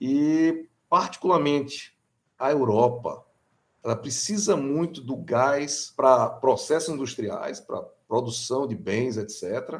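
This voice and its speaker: A man speaks at a very slow pace in a fairly high pitch, with ordinary pitch variation. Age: 40s. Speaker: electrical engineering professor. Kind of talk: interview.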